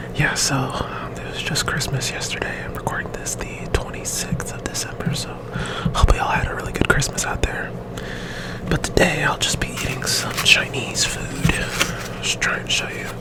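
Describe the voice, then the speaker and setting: A man whispers in a relaxed tone. Noticeable background noise can be heard. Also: moderate pace. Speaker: ASMR content creator. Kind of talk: casual talk to camera. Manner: whispered, relaxed.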